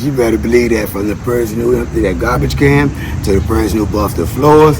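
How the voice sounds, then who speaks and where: Lively intonation carries through noticeable background noise and audible room echo. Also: man. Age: 60s. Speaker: military veteran and history channel host. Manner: animated.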